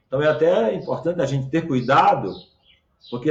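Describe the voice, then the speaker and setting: There is audible room echo as a somewhat breathy man talks, his pitch varying in an ordinary way. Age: 60s. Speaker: pastor. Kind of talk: sermon. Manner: halting, frequent fillers.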